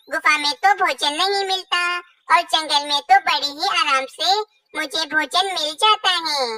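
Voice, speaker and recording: A squeaky, cartoonish character voice, female-sounding and extremely high, at a fairly slow pace. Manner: persuasive, reassuring.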